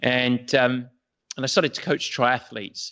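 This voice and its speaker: A man with an American accent at a moderate pace. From England. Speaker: triathlon coach. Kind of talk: interview conversation.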